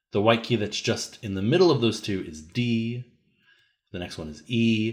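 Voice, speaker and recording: This man has a fairly low pitch and speaks at a fairly slow pace. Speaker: music teacher. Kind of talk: tutorial.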